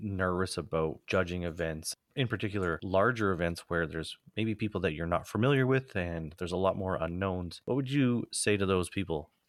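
A man with a Canadian accent talks at a fairly quick pace in a very deep, low pitch with lively intonation. The recording is very clean and the background silent. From Alberta, Canada. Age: 40s. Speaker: podcast co-host. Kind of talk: casual chat.

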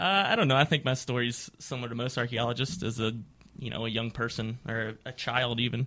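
On a very clean recording with a silent background, a man speaks fairly quickly at medium pitch in a bright, sharp tone. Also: ordinary pitch variation. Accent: Appalachian. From West Virginia (Appalachia). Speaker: archaeology graduate student. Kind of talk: interview. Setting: radio studio.

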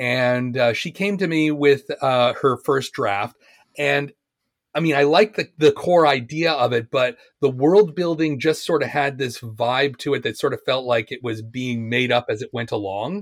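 A man with a Canadian accent, fairly high pitch and ordinary pitch variation at a fairly slow pace, a normal speaking voice on a very clean recording, silent background. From Canada, Ontario. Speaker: fiction writer. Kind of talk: casual chat.

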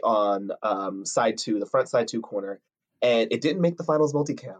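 In an American accent, a man speaks at a moderate pace. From New Jersey. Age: 20s. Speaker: color guard performer and captain. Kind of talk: interview. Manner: enthusiastic.

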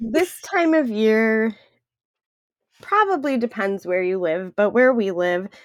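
A woman with a Wisconsin accent speaks at a very slow pace, her voice fairly high in pitch. Long pauses come often between her words. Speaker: podcast co-host.

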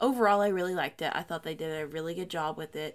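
A woman with a plain, everyday voice at medium pitch speaks at a fairly quick pace in a very clean recording with a silent background. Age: 20s. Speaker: book podcast co-host. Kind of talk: casual chat.

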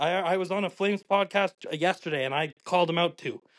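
In a dry, close sound with no echo, a man with a Western Canadian accent talks at a high pitch. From Calgary, Canada. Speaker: chef. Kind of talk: casual chat.

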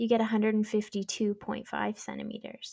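Speaking at a moderate pace in a Canadian accent, a woman uses a fairly high, somewhat breathy voice with a dark, mellow tone. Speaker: knitwear designer. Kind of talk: casual chat.

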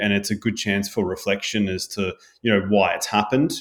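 In a very clean recording with a silent background, a man talks in a fairly low pitch. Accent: Australian. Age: 40s. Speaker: health coach. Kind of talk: casual chat.

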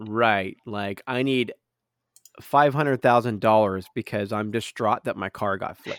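This man has a plain, everyday voice with fairly low pitch and fairly even intonation at a fairly slow pace. The recording is very clean, with a silent background and a dry, close sound with no echo. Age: 30s. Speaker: podcast host. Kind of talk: casual chat.

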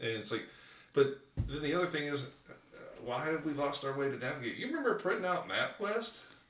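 With a plain, everyday voice, a man speaks at a fairly quick pace, his fairly high pitch carrying lively intonation. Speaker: guest cousin. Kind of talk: casual chat.

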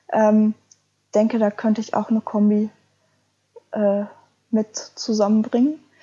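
A woman speaks at a fairly slow pace with long, frequent pauses, a fairly high pitch and fairly even intonation. Her tone is dark, mellow and somewhat breathy, with a dry, close sound and no echo. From Ruhr area, Germany. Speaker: adventure blogger. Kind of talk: interview.

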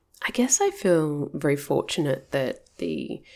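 The voice carries an Australian accent. The recording is very clean, with a silent background. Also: woman. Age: 40s. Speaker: counsellor and ADHD coach. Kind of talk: personal storytelling podcast monologue.

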